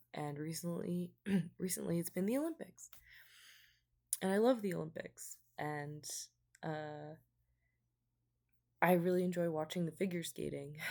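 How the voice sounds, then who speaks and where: Speaking quietly at a moderate pace, a woman with a fairly low pitch and ordinary pitch variation leaves long, frequent pauses. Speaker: vlogger. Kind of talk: casual chat. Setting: at home late at night.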